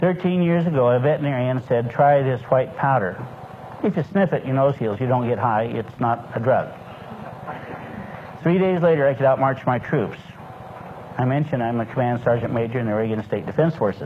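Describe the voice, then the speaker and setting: Over noticeable background noise, a man talks at a fairly quick pace and medium pitch, with ordinary pitch variation and long, frequent pauses. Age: 60s. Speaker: lecturer on a nutritional supplement. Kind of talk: lecture. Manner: folksy storytelling.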